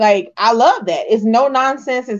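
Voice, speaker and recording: With an American accent, a woman has an unremarkable speaking voice at a fairly high pitch. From Texas. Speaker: podcast co-host. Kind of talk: casual chat.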